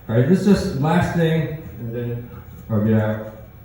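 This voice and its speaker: Noticeable background noise runs under the recording. A man speaks with lively intonation. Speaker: spoken word poet. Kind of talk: casual talk to live audience.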